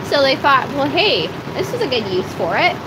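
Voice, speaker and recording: Over noticeable background noise and audible room echo, the speaker moves at a fairly quick pace with very wide pitch swings. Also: woman. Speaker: farmer and video blogger. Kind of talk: live stream chat. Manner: loud, straining to project; casual, filler-heavy.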